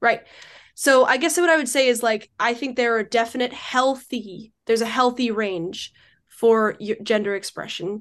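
Over a quiet background, a woman uses an ordinary speaking voice, fairly high in pitch, with ordinary pitch variation at a moderate pace. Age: 20s. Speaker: debater. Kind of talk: debate.

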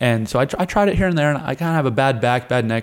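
Very fast speech comes from a man with an American accent. The recording is very clean, the background silent. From Colorado and Wyoming, US. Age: 20s. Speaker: wrestler and MMA fighter. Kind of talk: casual chat. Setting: at a jiu-jitsu camp.

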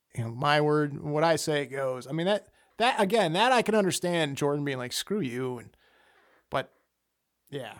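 Speaking at a moderate pace with lively intonation, a man with a fairly high pitch leaves long, frequent pauses in a very clean recording with a silent background. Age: 30s. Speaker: podcast guest discussing sports. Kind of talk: casual chat.

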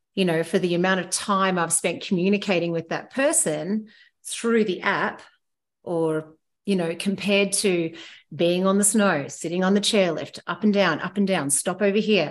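A woman with an Australian accent speaks against a quiet background. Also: medium pitch for a woman, ordinary pitch variation, moderate pace. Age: 40s. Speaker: heli ski guide. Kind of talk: casual chat.

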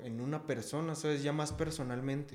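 Over music in the background, a man with a Mexico City accent speaks at a fairly high pitch in a monotone, flat intonation. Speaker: rapper. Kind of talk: casual chat.

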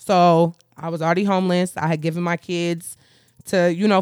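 A woman with a fairly low voice speaks with an American accent. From Philadelphia / Allentown, Pennsylvania. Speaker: sex worker and film extra. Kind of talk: interview.

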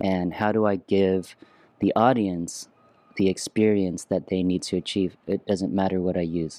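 At a moderate pace, a man speaks with very deep, low pitch, a dark, mellow tone and monotone, flat intonation. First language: Vietnamese. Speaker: musician and former creative director. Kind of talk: casual interview.

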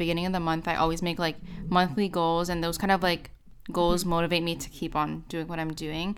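A woman talks very fast with fairly even intonation and a fairly low pitch. The recording is very clean, with a silent background. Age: 20s. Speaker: university student and YouTuber. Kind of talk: interview.

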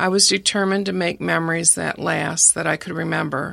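In a very clean recording with a silent background, a woman with a Midwestern American accent speaks at a moderate pace. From Michigan, Detroit area. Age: 60s. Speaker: graphic designer sharing faith testimony. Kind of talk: testimony. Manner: reading from prepared text.

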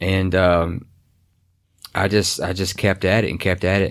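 In a Kentucky accent, a man speaks with a very deep, low pitch and monotone, flat intonation. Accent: Kentucky Southern. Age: 30s. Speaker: paranormal investigator. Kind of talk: interview storytelling. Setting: studio.

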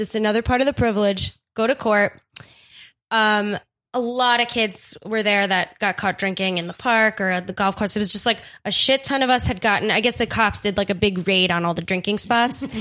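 Woman with an American accent, fairly high-pitched, bright and sharp, fairly quick, with fairly even intonation. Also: very clean recording, silent background. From Staten Island, New York. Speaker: comedian and improviser. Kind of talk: casual storytelling chat.

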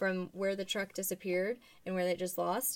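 In a normal speaking voice, a woman with a medium-pitched voice talks at a fairly quick pace. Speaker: podcast host. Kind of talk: casual chat.

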